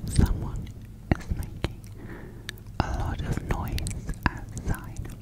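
A woman whispers, taking a very slow pace. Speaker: whisper video creator. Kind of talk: ASMR video. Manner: whispered. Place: home room.

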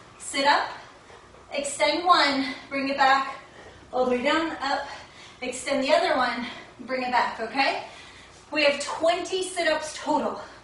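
A woman with a high pitch speaks fairly slowly with ordinary pitch variation, over light background noise and audible room echo. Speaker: fitness instructor. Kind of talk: workout instruction. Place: home room. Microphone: camera far.

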